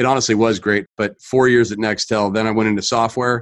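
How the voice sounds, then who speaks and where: A man in a General American accent uses an unremarkable speaking voice at a medium pitch, with fairly even intonation and a moderate pace. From California. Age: 40s. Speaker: mortgage loan advisor. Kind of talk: interview conversation.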